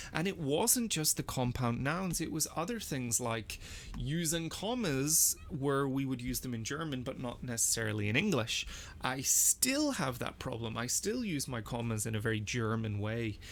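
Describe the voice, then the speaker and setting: With a Northern Irish accent, a man speaks using lively intonation. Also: medium pitch for a man, moderate pace. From Northern Ireland. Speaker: language teacher and learner. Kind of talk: casual screen-recorded language practice commentary. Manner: animated, with repetitions and fillers.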